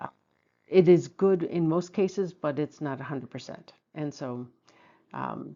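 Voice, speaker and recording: Speaking at a fairly slow pace, a woman with a very deep, low pitch uses vocal fry, ordinary pitch variation and big swings in loudness. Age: 60s. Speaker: feng shui and BaZi content creator. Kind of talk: casual video monologue. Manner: hesitant, many fillers.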